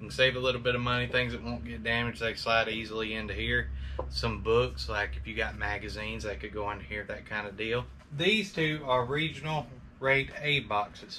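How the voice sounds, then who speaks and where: Audible room echo surrounds a man of medium pitch who talks at a fairly quick pace with very wide pitch swings. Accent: Alabama. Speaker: online reseller. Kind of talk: tutorial. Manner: fast; casual.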